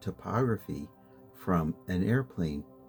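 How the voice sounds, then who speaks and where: A soft-spoken man with a gentle tone and lively intonation talks at a fairly slow pace over music in the background. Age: old. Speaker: street photographer and photojournalist. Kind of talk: sleep story, slow encyclopedia-style reading. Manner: slow, gentle, soft-spoken.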